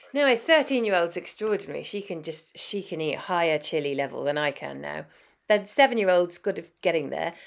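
A woman with a southern English accent speaks at a fairly quick pace in a fairly low pitch, her intonation lively. The recording is very clean, with a silent background. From southern Africa (Zimbabwe, Botswana, South Africa) until 8, then London. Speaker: chef and food writer. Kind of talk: interview. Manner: hesitant, many fillers.

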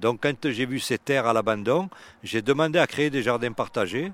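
A man speaks in a normal speaking voice at a moderate pace with ordinary pitch variation, recorded very cleanly against a silent background with a dry, close sound and no echo. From Marseille, France. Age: 60s. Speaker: urban gardener. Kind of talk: casual chat. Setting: outdoors.

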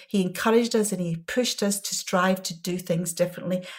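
In a Glasgow accent, a woman speaks very fast at a medium pitch, somewhat breathy, with ordinary pitch variation. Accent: Scottish, Glasgow. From Scotland, Glasgow. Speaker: pharmaceutical executive. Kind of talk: interview.

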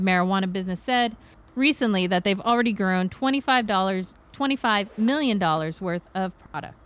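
This woman has an ordinary speaking voice at a medium pitch. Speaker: cannabis industry correspondent. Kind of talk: live news talk show.

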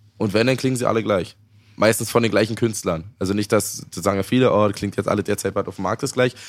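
On a very clean recording with a silent background, a man speaks at a very fast pace. His fairly low voice keeps a fairly even intonation. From eastern Germany. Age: 30s. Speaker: rapper. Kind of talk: casual chat.

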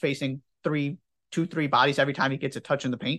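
Nothing much is heard behind the voice. Delivery runs fairly quickly. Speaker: podcast host, interviewer. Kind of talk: casual sports chat and interview.

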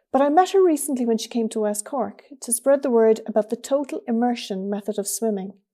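A woman in an Irish accent, fairly high-pitched with a dark, mellow tone, at a fairly quick pace with ordinary pitch variation. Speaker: podcast host and newspaper editor. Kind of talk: interview. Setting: video call.

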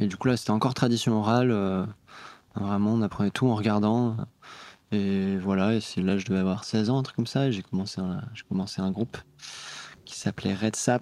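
A man's fairly low-pitched voice with a dark, mellow tone, fairly even intonation, a fairly quick pace, and long, frequent pauses. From Brittany. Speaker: music producer. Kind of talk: casual chat. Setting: studio.

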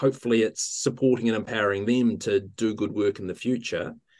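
The pace is fairly quick. A man talks in a New Zealand accent. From New Zealand, central North Island. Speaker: physiotherapist and associate professor. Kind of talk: interview. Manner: hesitant, frequent fillers.

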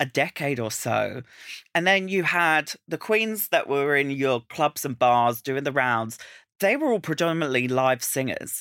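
At a fairly slow pace, a man with an Estuary English accent speaks in a bright, sharp tone with lively intonation, in a very clean recording with a silent background and a dry, close sound with no echo. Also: fairly high pitch for a man. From Essex, England. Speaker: drag queen. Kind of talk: casual chat. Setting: studio. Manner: animated.

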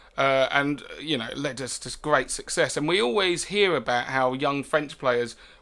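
A man speaks with a British accent. His pitch sits fairly high. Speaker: football podcast co-host. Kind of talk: casual chat.

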